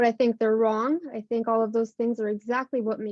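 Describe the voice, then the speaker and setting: Heard in a dry, close sound with no echo, a woman talks at a fairly quick pace in a fairly high voice. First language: not English. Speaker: municipal election candidate. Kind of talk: prepared campaign speech. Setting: town hall.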